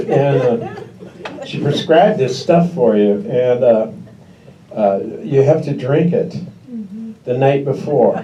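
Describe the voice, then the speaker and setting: Speaking slowly-ish with long, frequent pauses, a man with a Pacific Northwest accent has a fairly high pitch, heard with audible room echo and noticeable background noise. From Washington State. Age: 60s. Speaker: stand-up comedian. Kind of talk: stand-up. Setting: stage with audience.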